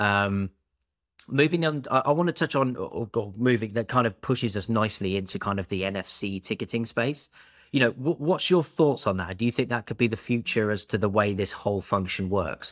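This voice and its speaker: Here a man talks at a fairly quick pace and medium pitch in a normal speaking voice with lively intonation. The sound is dry and close with no echo, on a very clean recording with a silent background. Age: 20s. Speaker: podcast host, payments company manager. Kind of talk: casual interview.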